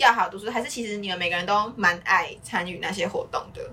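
There is noticeable background noise. A woman talks at a fairly quick pace. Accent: Taiwanese. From Taiwan. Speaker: podcast host. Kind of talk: casual chat; podcast outro.

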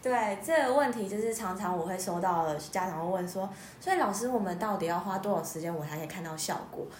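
Speech at a fairly quick pace, carrying audible room echo over noticeable background noise. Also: woman, medium pitch for a woman, ordinary pitch variation. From Taiwan. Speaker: music therapist, former nurse. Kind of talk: interview.

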